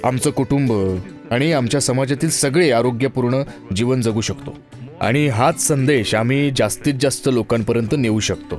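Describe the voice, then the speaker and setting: A man's medium-pitched voice with ordinary pitch variation and very even loudness, music in the background. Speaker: voice actor. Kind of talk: dubbed interview answer.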